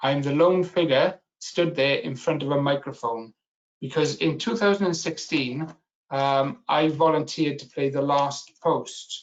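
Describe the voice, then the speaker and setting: A man speaks at a fairly slow pace in a fairly high voice, with ordinary pitch variation. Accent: strong Welsh. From Wales. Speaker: business analysis expert and webinar speaker. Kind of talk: webinar presentation. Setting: online webinar.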